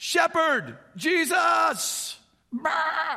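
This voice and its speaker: This is a put-on character voice. The pitch sits high. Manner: bleating, comic.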